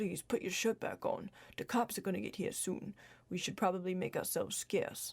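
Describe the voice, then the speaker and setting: In a put-on character voice, a female-sounding speaker uses a middle pitch at a moderate pace. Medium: read story.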